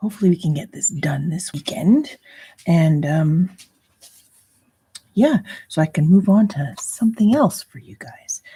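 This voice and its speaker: Quiet and somewhat breathy, a woman with a dark, mellow tone speaks at a medium pitch and a fairly slow pace, with very wide pitch swings and long, frequent pauses. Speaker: crochet tutorial youtuber. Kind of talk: tutorial. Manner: hesitant with fillers.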